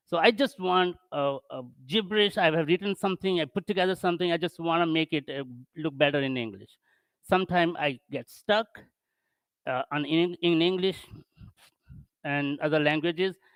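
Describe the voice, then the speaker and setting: Using a non-native accent, a man with a high pitch and ordinary pitch variation speaks at a moderate pace with long, frequent pauses, in a dry, close sound with no echo. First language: not English. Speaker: tech conference speaker. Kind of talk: tech talk. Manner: halting.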